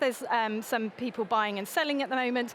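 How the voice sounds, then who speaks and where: Speaking in an English accent, a woman has a high pitch and ordinary pitch variation. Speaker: venue finder, seminar speaker. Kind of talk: seminar talk. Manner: fast; hesitant with many fillers.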